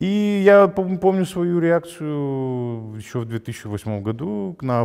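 A man's voice with very wide pitch swings, faint music in the background. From Gagauzia, Moldova; Moldova. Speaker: journalist, head of a news site. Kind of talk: interview. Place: studio. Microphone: lapel.

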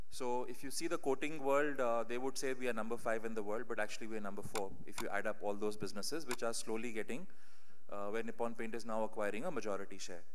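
Over light background noise, a man talks at a very fast pace with very even loudness and ordinary pitch variation. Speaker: conference keynote speaker. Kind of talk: conference talk. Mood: slightly unwell, apologetic. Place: hall. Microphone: podium.

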